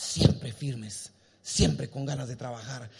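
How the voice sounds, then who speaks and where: Animated in tone, a man talks at a medium pitch with ordinary pitch variation and some vocal fry. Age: 50s. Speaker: pastor. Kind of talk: sermon. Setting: church.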